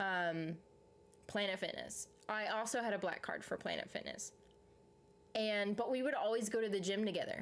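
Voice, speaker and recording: With an American accent, a woman speaks at a moderate pace and a fairly high pitch, her loudness very even. Her intonation is fairly even, broken by long, frequent pauses. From US South. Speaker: live streamer. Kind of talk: casual live stream chat. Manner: casual, rambling.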